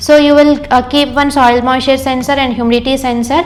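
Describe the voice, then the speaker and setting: With an Indian accent, a high-pitched woman speaks at a moderate pace over noticeable background noise and audible room echo. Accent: Indian English, Telugu. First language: Telugu. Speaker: engineer and course trainer. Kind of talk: lecture. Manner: hesitant, many fillers.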